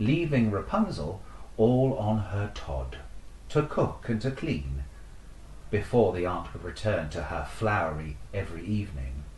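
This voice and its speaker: A man's fairly low-pitched voice at a fairly slow pace, with very wide pitch swings and noticeable background noise. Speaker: podcast host, storyteller. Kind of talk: fairy tale storytelling reading. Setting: online video, talking to camera.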